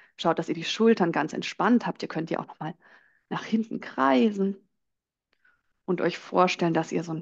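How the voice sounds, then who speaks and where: A woman with a fairly low pitch and vocal fry speaks with ordinary pitch variation over a quiet background. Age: 30s. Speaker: belly dance teacher. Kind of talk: guided dance instruction; casual interview.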